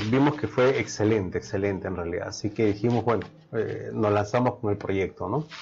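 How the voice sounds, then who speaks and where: A man's fairly low voice with vocal fry, over light background noise. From Peru. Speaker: chef and food business owner; guest. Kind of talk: interview. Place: studio.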